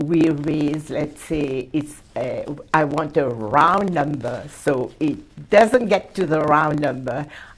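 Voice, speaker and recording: A woman's very deep, low voice in a southern Chinese accent, at a very slow pace with lively intonation. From Mauritius. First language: Hakka. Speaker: community leader and award recipient. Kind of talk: interview.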